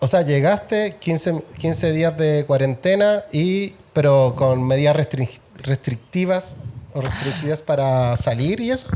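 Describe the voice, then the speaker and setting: Over noticeable background noise, a man with a Chilean accent talks at a fairly slow pace, his pitch fairly high and his intonation lively. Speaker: podcast host. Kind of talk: casual interview chat.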